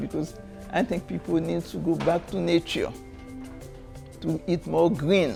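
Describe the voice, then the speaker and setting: A woman with a Haitian accent at a fairly slow pace, long, frequent pauses, and music in the background. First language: Haitian Creole. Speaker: storyteller and folk artist. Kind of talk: interview answer.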